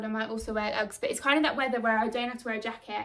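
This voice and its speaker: A woman is the one speaking. Her pace is very fast. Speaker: vlogger and nail technician. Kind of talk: vlog, casual talk to camera. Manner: many filler words.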